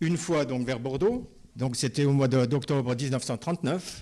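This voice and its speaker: At a fairly quick pace, a man talks in a dark, mellow tone at a fairly high pitch with ordinary pitch variation. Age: 80s+. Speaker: retired chemist, evacuation witness. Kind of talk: interview testimony.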